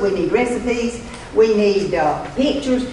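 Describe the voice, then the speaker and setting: A woman speaks in a room with audible echo and light background noise. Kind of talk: church announcement, casual. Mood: light-hearted, laughing. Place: church. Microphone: podium.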